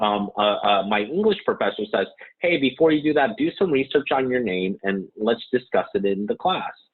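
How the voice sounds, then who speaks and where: With a Californian accent, a man talks at a medium pitch, his voice making very wide pitch swings. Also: moderate pace, very even loudness. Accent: Californian American. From Santa Monica, California, US. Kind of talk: interview. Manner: halting.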